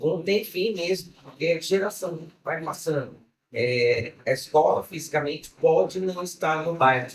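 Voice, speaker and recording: At a fairly slow tempo, the voice shows ordinary pitch variation. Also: man, high pitch for a man. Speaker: samba school old guard member. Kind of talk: testimony.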